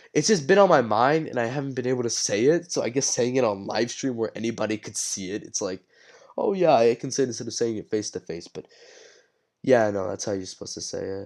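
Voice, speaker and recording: A man speaks at a very fast pace and medium pitch, with lively intonation and big swings in loudness. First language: Spanish. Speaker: streamer. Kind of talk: casual live stream chat. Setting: live stream. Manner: halting, many repeats.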